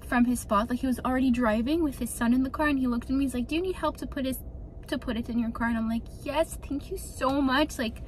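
Over light background noise, a woman talks very fast at a high pitch with fairly even intonation. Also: dry sound with no echo. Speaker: lifestyle vlogger. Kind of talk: casual vlog chat. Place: car. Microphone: phone near.

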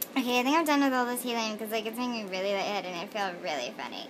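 A woman speaks at a high pitch with ordinary pitch variation. Light background noise can be heard. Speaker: vlogger. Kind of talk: casual talk to camera. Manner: silly, giddy. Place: home room. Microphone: phone near.

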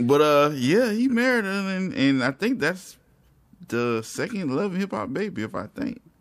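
Here a man speaks with a high pitch at a moderate pace. His voice makes very wide pitch swings. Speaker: podcast co-host. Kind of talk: casual chat.

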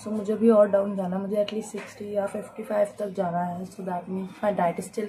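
The talking proceeds at a moderate pace while noticeable background noise remains present. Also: woman. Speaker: vlogger. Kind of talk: casual vlog chat. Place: kitchen. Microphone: phone near.

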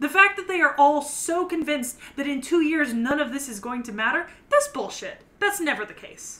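Speaking in a raised, projected voice at a moderate pace, the speaker uses lively intonation and big swings in loudness. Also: woman, high pitch for a woman. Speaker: anime podcast co-host. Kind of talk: casual chat. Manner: comes across loud.

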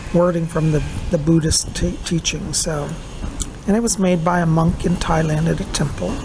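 A woman's fairly even delivery at a moderate pace, with noticeable background noise. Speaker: psychic vlogger. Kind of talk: casual vlog chat. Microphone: phone near.

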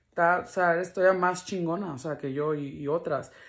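In an unremarkable speaking voice, a woman with a fairly low pitch talks at a moderate pace with fairly even intonation against a quiet background. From Los Angeles, US, Mexican family. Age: 20s. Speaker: video blogger. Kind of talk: casual vlog talk to camera. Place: home room. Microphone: phone near.

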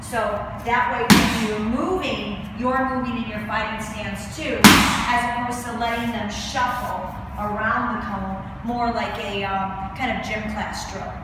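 Amid loud background noise and audible room echo, a woman speaks at a fairly slow pace with ordinary pitch variation. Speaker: fitness instructor. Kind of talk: tutorial. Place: gym.

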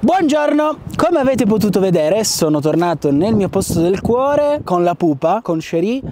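A man talks at a moderate pace. The sound is dry with no echo, and there is light background noise. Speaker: van-life vlogger. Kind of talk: casual vlog chat. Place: open country.

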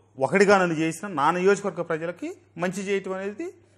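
Over a quiet background, a man talks at a high pitch. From Andhra Pradesh. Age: 50s. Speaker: politician; politician interviewee. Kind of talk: interview. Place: studio. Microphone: lapel.

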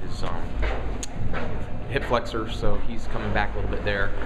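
A man speaks fairly quickly while clear music plays behind him. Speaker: college track coach. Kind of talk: interview answer.

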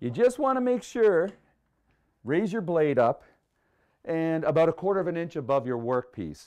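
A man is speaking at a moderate pace. Behind him, the background is quiet. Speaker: woodworking show host. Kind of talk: tutorial. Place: workshop.

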